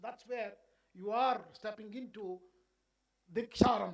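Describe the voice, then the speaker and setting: A man talks in a Karnataka accent. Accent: Indian English (Kannada). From India, Karnataka (Bengaluru). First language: Kannada. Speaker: education official. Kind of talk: keynote speech.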